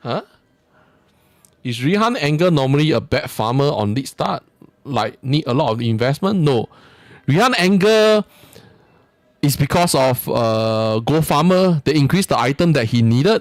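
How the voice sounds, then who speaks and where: Over music in the background, a man with a Singaporean accent swings very widely in pitch and leaves long, frequent pauses. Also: fairly high pitch for a man, moderate pace. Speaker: video game streamer. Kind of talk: live gameplay stream commentary. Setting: live stream. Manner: casual, halting with fillers.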